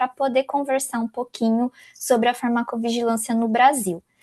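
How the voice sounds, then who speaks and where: Dark, mellow tone with a Brazilian accent, moderate pace, fairly even intonation and a dry, close sound with no echo. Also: woman. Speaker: pharmacy professor. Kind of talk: lecture. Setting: video conference.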